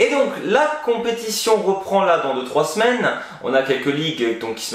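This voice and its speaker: Over noticeable background noise and audible room echo, a man speaks at a moderate pace. His intonation is lively. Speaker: football YouTuber. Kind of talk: video commentary monologue. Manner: casual.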